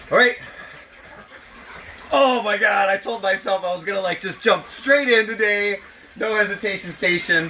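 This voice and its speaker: A man shouts in a raised, projected voice, high-pitched and excited, with ordinary pitch variation. He keeps a moderate pace with long, frequent pauses over noticeable background noise. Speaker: home gardener keeping chickens. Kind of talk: casual talk to camera. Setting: outdoors. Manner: hesitant, pauses and stutters; excited yelling.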